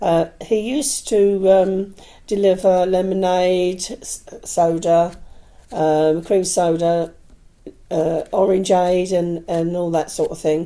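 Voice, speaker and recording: A woman speaks at a very slow pace in a medium-pitched voice with a dark, mellow tone and fairly even intonation. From Ireland (Dublin), then South East London from age 8. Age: 70s. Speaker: retired caterer, interviewee. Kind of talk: casual interview, life story. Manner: hesitant, many fillers.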